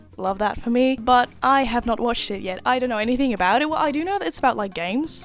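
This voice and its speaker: A woman's high-pitched voice with a Dutch accent, very fast pace and ordinary pitch variation, over noticeable background noise. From Netherlands. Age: 20s. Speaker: YouTuber, university student. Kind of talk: reaction video commentary. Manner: casual, chatty.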